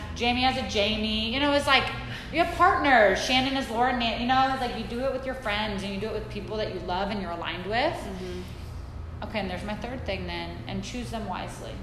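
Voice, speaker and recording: A woman with an American accent at a fairly quick pace, hardly any pauses, noticeable background noise and audible room echo. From Saudi Arabia (American expat upbringing). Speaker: women's wellness coach. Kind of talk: talk to a live audience.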